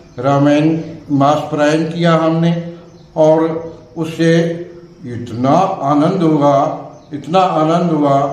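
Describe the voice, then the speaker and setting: Against noticeable background noise and audible room echo, a man speaks at a fairly high pitch with ordinary pitch variation. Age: 70s. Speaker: religious storyteller. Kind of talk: interview.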